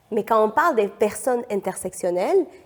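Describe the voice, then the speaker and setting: A woman speaks with lively intonation at a fairly high pitch. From Peru. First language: Spanish (speaking French). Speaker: economist and feminist activist. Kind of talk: podcast interview. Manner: hesitant, many fillers.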